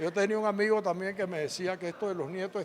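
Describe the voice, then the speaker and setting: There is noticeable background noise behind a man's voice. He speaks high and at a fairly quick pace. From Panama. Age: 80s+. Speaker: former agriculture minister and businessman. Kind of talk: interview. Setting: event venue.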